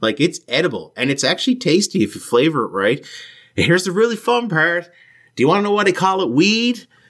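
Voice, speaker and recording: Talking at a very fast pace with very wide pitch swings, a man in a strong Newfoundland accent is heard on a very clean recording with a silent background. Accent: Newfoundland accent, thick. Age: 30s. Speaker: podcast host. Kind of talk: interview. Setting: home basement.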